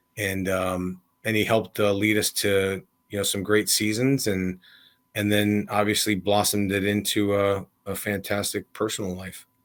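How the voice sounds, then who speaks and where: On a very clean recording with a silent background, a man with an American accent speaks at a moderate pace, in a fairly low pitch with monotone, flat intonation. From US Midwest, Illinois. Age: 40s. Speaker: college football coach. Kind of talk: podcast interview. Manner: casual, with many fillers.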